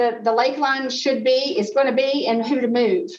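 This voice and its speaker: Here is a woman speaking. Her pitch is high. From Butler, Tennessee. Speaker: museum tour guide. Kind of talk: history lecture.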